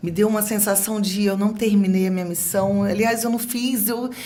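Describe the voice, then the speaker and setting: A somewhat breathy woman's voice. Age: 50s. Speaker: TV presenter. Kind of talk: podcast interview answer.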